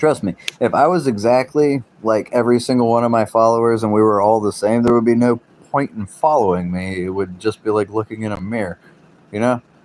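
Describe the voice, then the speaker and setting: At a fairly quick pace and medium pitch, a man with an American accent speaks with ordinary pitch variation in a dry, close sound with no echo. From US South, South Carolina coast. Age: 30s. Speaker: livestreamer. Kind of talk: casual livestream chat. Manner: talkative.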